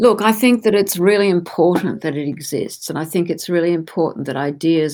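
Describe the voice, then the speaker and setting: A woman with an Australian accent speaks at a moderate pace. Her fairly low pitch shows ordinary pitch variation. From Australia, Melbourne. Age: 60s. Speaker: gallerist. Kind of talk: interview.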